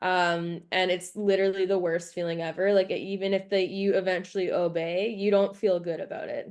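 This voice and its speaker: Over a quiet background, a woman at medium pitch talks at a moderate pace with hardly any pauses and monotone, flat intonation. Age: 20s. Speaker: horse trainer. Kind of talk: podcast interview. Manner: many fillers, casual.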